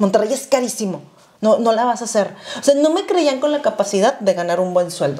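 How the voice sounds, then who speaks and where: Speaking at a fairly quick pace, a woman makes very wide pitch swings. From Mexico. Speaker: podcast co-host. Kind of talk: casual chat. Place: home room. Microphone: lapel.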